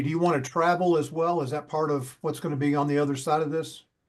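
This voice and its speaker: A man with a normal speaking voice, fairly high pitch and ordinary pitch variation, in a quiet background. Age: 60s. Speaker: sales closer. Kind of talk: sales call.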